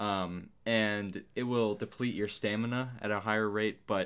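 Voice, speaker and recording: A man speaks with an ordinary speaking voice, fairly low in pitch with ordinary pitch variation. The recording is very clean, with a silent background. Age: young. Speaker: co-host, host's brother. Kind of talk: casual chat.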